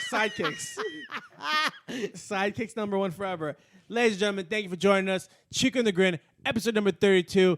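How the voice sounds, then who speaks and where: In a dry, close sound with no echo, a man speaks loud and very fast at a high pitch, with long, frequent pauses. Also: ordinary pitch variation. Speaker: podcast co-host. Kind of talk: casual chat.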